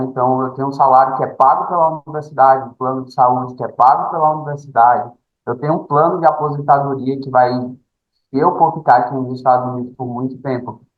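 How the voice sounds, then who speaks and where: Speaking fairly fast, a man with a fairly high voice shows ordinary variation in pitch. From Brazil, Fortaleza, Ceará (Northeast). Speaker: postdoctoral researcher. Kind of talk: interview.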